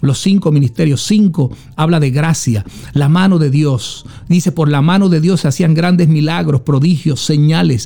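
A man with a plain, everyday voice, fairly high in pitch, with ordinary pitch variation, very even loudness and a moderate pace. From Puerto Rico, Juana Díaz. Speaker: apostle, former police officer. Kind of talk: testimony.

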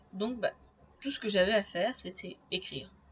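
A woman's somewhat breathy voice moves at a fairly quick pace. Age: 20s. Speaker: podcaster and aspiring novelist. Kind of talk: solo podcast monologue.

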